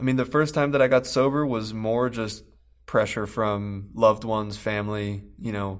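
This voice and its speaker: On a very clean recording with a silent background, a man with an unremarkable speaking voice talks at fairly low pitch with fairly even intonation. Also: moderate pace. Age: 20s. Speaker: addiction treatment worker in recovery. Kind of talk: interview.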